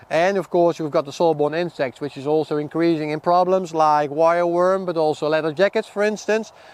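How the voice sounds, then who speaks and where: A high-pitched man with a Dutch accent talks at a fairly quick pace with hardly any pauses. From Netherlands. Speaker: seed company product manager and farmer. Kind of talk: outdoor field talk to farmers. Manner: halting, many repetitions.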